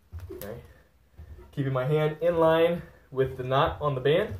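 A man talks at a moderate pace. Audible room echo and light background noise surround him. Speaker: fitness coach. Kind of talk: tutorial. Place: gym. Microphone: camera far.

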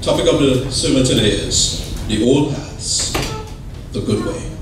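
Over noticeable background noise and audible room echo, a man speaks with monotone, flat intonation. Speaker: church elder preaching. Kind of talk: sermon. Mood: calm, reverent. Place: church. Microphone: podium.

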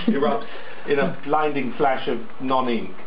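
Amid light background noise and audible room echo, a man speaks with a fairly high pitch. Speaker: voice actor. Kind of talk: comedy sketch. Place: office. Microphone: phone near.

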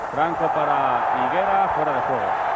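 The speaker has a Spanish accent. Loud background noise fills the dry, echo-free sound. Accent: Peninsular Spanish. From Spain. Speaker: football commentator. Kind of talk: live sports commentary.

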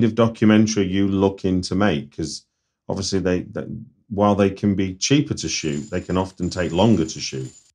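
Against a quiet background, a man with a Manchester accent speaks at a moderate pace in a fairly low voice. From North Manchester, England. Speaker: podcast host, screenwriter. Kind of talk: casual interview chat.

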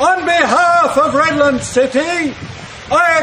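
A man speaks in a raised, projected voice at a high pitch. Noticeable background noise runs underneath. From Australia. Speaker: town crier. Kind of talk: town crier proclamation. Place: street. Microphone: camera far.

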